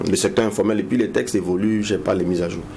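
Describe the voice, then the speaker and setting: In a room with audible echo and noticeable background noise, a man with a fairly low pitch speaks at a very fast pace with fairly even intonation. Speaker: business consultant. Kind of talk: TV interview.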